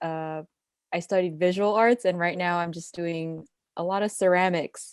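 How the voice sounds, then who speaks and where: A woman speaks with a Californian accent at a fairly low pitch. Her intonation is fairly even, and the sound is dry and close with no echo. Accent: Californian American. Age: 20s. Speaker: podcast co-host, ceramic artist. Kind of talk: casual podcast chat.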